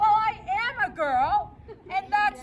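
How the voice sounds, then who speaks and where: A woman uses a put-on character voice pitched extremely high, with lively intonation. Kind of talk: comic stage acting. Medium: stage play. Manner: chatty, theatrical.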